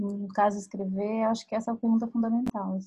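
Somewhat breathy and fairly high-pitched, a woman speaks in a monotone, flat way. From Minas Gerais, Brazil. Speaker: writer and podcast host. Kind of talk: casual chat. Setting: livestream video call.

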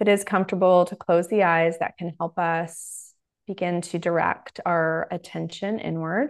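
A woman with a normal speaking voice, fairly low pitch and fairly even intonation, against a quiet background. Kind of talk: guided meditation; casual interview chat. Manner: soft, slow, calm and instructional.

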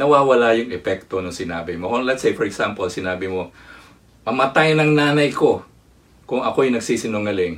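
A man with a medium pitch talks at a fairly quick pace, his intonation lively. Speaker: preacher. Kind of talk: sermon, live-streamed preaching with Taglish code-switching. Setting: online livestream with comment box. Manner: animated, earnest preacher delivery with rhetorical questions.

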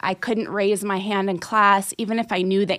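Over a silent background on a very clean recording, a woman talks at a moderate pace in a medium pitch, her tone bright and sharp and her intonation fairly even. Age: 40s. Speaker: life coach. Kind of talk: interview.

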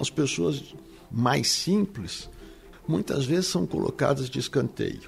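Music runs in the background. A man speaks very slowly. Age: 60s. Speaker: marketing professor and consultant. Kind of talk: interview.

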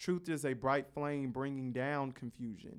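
A man with an American accent, a plain, everyday voice at a medium pitch and a moderate pace, on a very clean recording with a silent background. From Carson, California. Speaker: college student, podcast founder. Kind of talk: casual chat.

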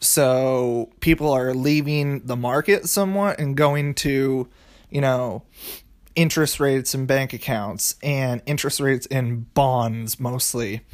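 On a very clean recording with a silent background, a man with an unremarkable speaking voice and medium pitch talks at a fairly slow pace with ordinary pitch variation. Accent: American. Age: 20s. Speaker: finance podcaster. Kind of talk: solo explainer monologue. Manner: casual, filler-heavy.

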